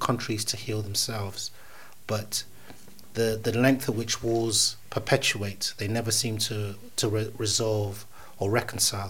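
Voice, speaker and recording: At a fairly slow pace, a man speaks at a medium pitch in a somewhat breathy voice. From Uganda, Kenya border. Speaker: poet. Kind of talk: interview conversation. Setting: studio.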